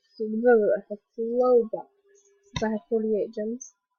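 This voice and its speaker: Her voice is somewhat breathy. The woman speaks at a fairly high pitch. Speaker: gaming youtuber. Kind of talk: gameplay commentary. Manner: casual, chatty.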